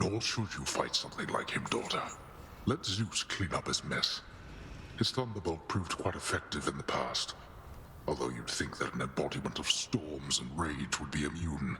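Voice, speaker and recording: A man in a put-on character voice over loud background noise. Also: moderate pace. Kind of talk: archaic formal speech. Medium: video game. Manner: cold, formal, disdainful.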